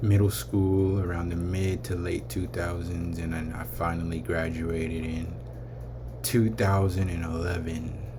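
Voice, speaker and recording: A man's very deep, low voice with an American accent and audible room echo. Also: ordinary pitch variation. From California, Vallejo. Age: 30s. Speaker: vlogger. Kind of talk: casual vlog rant.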